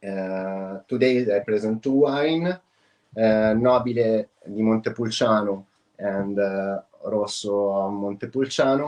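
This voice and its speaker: Man with an Italian accent, fairly low pitch, ordinary pitch variation and a very slow pace. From Italy (Tuscany). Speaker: wine producer, export manager. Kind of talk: business presentation. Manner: halting, many fillers.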